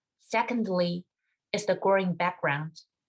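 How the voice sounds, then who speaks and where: At a moderate pace, a woman talks in a medium-pitched voice. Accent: Chinese. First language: Mandarin Chinese. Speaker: music doctoral student. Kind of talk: webinar presentation.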